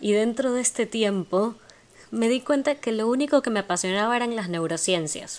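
Her pitch fairly high, a woman speaks at a moderate pace with lively intonation against a quiet background. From Ecuador, Guayaquil. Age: 20s. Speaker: psychopedagogy student and podcaster. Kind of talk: monologue introduction.

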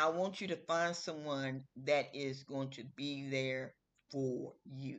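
Speaking very slowly, a woman with a very deep, low pitch keeps her intonation fairly even. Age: 50s. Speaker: podcast host. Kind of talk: casual solo talk. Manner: casual, repetitive.

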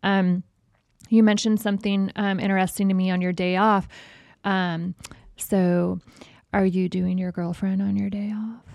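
In an American accent, a woman with a medium pitch speaks at a moderate pace in a monotone, flat intonation, taking long, frequent pauses on a very clean recording with a silent background. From Las Vegas, US. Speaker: podcast co-host. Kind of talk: casual chat; scripted show intro. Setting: studio.

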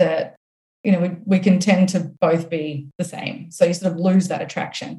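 A woman's somewhat breathy, medium-pitched voice with a dark, mellow tone, an Australian accent and a moderate pace. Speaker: author and coach. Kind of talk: casual interview chat.

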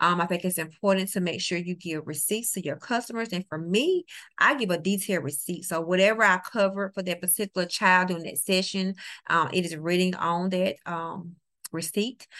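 With a New Orleans accent, the speaker goes at a fairly quick pace, using a bright, sharp tone and ordinary pitch variation. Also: woman, medium pitch for a woman. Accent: US Southern (New Orleans). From New Orleans, Louisiana. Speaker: teacher and tutor. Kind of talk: interview.

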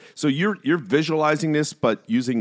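Speaking at a moderate pace, a man uses a fairly high pitch and lively intonation. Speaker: podcast host. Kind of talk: casual interview.

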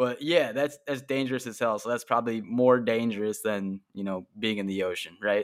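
In a very clean recording over a silent background, a man with a Chicago accent talks at a moderate pace with hardly any pauses, his medium pitch showing ordinary variation. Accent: Chicago American. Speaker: podcast host. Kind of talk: casual interview chat.

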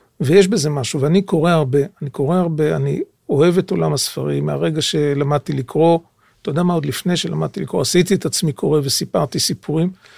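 The dry, close sound with no echo carries a man talking at a very fast pace, his fairly high pitch showing ordinary variation. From Israel, Jerusalem. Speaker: author and translator, former intelligence service. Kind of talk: interview. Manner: halting.

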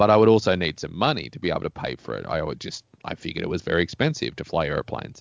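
A man's very deep, low voice with vocal fry, a very fast pace and very wide pitch swings. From Australia. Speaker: pilot and keynote speaker. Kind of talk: casual interview.

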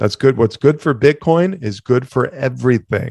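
Here is a man with an unremarkable speaking voice and ordinary pitch variation. The sound is dry and close with no echo, over a quiet background. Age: 40s. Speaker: podcast host, entrepreneur. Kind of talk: casual monologue.

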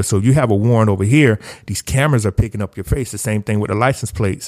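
A man with a Southern US accent, fairly low-pitched, talking at a very fast pace with ordinary pitch variation, on a very clean recording against a silent background. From US South, rural South Carolina. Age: 30s. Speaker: technology consultant and researcher. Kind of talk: podcast interview.

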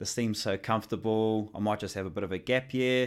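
Very cleanly recorded against a silent background, a man with a New Zealand accent talks fairly quickly at a medium pitch. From New Zealand, Northland. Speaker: fitness coach. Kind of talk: casual chat.

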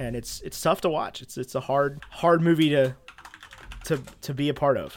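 Noticeable background noise sits under a man's fairly high-pitched voice, which moves at a moderate pace with fairly even intonation and big swings in loudness. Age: 20s. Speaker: movie review podcast co-host. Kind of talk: casual chat.

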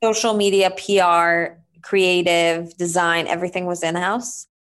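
A woman with an Israeli accent speaks at a fairly low pitch. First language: Hebrew. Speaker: entrepreneur. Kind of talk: interview.

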